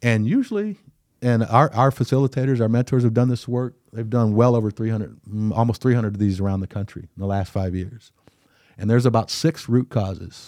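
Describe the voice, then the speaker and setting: A man with a Midwestern American accent and a dark, mellow tone comes through in a very clean recording with a silent background and a dry, close sound with no echo. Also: medium pitch for a man, fairly even intonation. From Iowa, Cedar Rapids. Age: 50s. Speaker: diversity consultant. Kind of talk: casual interview.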